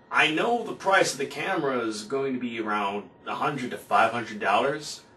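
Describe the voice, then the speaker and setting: Noticeable background noise surrounds a man speaking at a fairly slow pace. His fairly high pitch makes very wide swings. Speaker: vlogger. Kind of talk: casual talk to camera. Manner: speaking with gusto.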